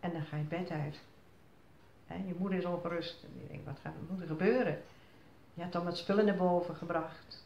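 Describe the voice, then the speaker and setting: Fairly low female voice at a fairly quick pace, fairly even in intonation, with light background noise and audible room echo. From Zierikzee, Zeeland, Netherlands. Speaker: flood survivor. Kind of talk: interview answer. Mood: reflective, recalling fear. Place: home room. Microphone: phone near.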